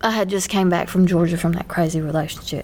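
Fairly even intonation in an ordinary speaking voice. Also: woman. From US South (Bible Belt). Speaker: podcast co-host. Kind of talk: casual chat.

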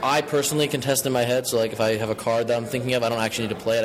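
A man of medium pitch talks in monotone, flat intonation amid noticeable background noise. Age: 20s. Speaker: card game tournament winner. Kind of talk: interview.

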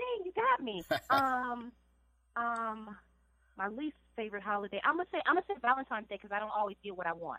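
With an American accent and an ordinary speaking voice, the speaker moves at a fairly quick pace with lively intonation. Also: woman, fairly high pitch for a woman. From Chicago, South Side. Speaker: actress. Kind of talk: casual interview. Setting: phone call.

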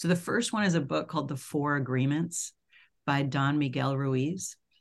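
A woman with an American accent speaks at a moderate pace in a very deep, low pitch, with vocal fry. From US, New York City. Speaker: company founder and CEO. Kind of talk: podcast interview.

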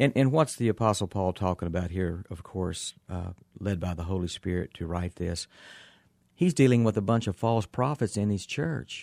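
A man's very deep, low voice at a moderate pace with ordinary pitch variation, on a very clean recording with a silent background and a dry, close sound with no echo. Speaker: pastoral psychologist. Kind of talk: radio interview, Bible-based counseling talk. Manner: thoughtful, measured, pastoral.

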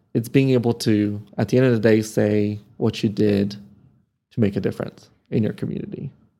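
On a very clean recording with a silent background, a man speaks at a moderate pace and medium pitch, his intonation fairly even. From Serbia (born in Croatia), raised in Amarillo, Texas from age 10. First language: Serbian. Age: 30s. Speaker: nonprofit marketing professional. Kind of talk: interview conversation.

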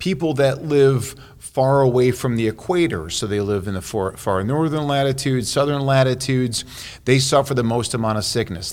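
An ordinary speaking voice: a man at medium pitch with an American accent, moderate pace and ordinary pitch variation. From Chicago, US Midwest. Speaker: cardiologist. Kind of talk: interview. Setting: on location at a workshop.

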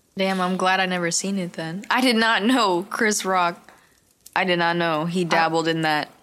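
Speaking in an American accent at a medium pitch, a woman with a bright, sharp tone keeps a moderate pace and fairly even intonation on a very clean recording with a silent background. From San Jose, California. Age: 20s. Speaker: podcast co-host. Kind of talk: casual chat.

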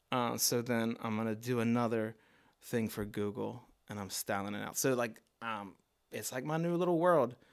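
Heard in a very clean recording with a silent background, a man with an ordinary speaking voice and medium pitch keeps a moderate pace and ordinary pitch variation. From Baltimore, US. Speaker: visual artist. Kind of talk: casual chat.

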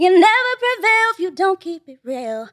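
The speaker has a Los Angeles accent. The sound is dry and close, with no echo. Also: woman. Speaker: content creator and aspiring rapper. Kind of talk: casual podcast interview. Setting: studio.

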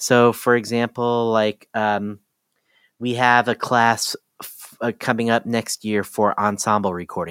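The voice carries a Midwestern US accent with fairly even intonation. The recording is very clean, with a silent background and a dry, close sound with no echo. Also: man. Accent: US Midwest. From Ohio. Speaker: music production educator. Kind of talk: casual interview.

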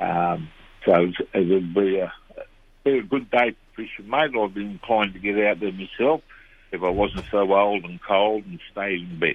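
A man's fairly low voice with an Australian accent and big swings in loudness. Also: ordinary pitch variation, moderate pace. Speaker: fishing reporter. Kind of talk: casual chat.

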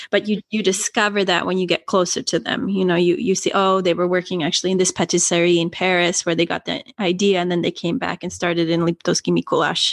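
A woman with a Canadian accent at a very fast pace, medium-pitched, with fairly even intonation, hardly any pauses, and a dry, close sound with no echo. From Canada. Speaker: NGO co-founder, author. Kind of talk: interview. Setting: video call.

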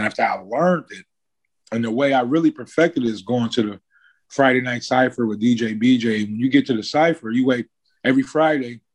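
A man with a normal speaking voice and a medium pitch talks fairly quickly with ordinary pitch variation against a quiet background. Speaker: rapper and landscaping business owner. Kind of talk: casual interview chat. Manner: laid-back, slangy, casual.

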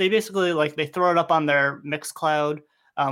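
On a very clean recording with a silent background, a man speaks in an ordinary speaking voice at a fairly high pitch. His pace is fairly quick and his intonation fairly even. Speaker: podcast host. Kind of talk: casual chat.

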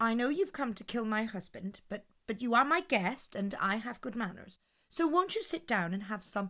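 A natural reading voice carries lively intonation.

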